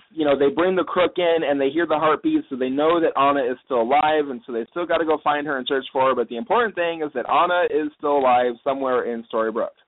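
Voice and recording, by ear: Here a man speaks with a fairly high pitch. His pitch variation is ordinary.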